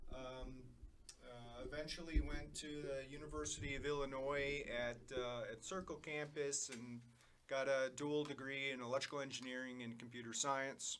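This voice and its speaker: A man with a Chicago accent speaks at a moderate pace in a monotone, flat intonation, with noticeable background noise behind him. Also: medium pitch for a man. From Chicago, south side. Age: 50s. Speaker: cancer patient, electrical engineer. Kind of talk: interview, personal story. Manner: halting, many fillers.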